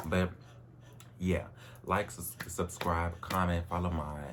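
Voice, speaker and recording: A man with a very deep, low pitch, vocal fry, ordinary pitch variation and an animated tone, plus audible room echo. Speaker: vlogger. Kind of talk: personal vlog monologue. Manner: casual, animated.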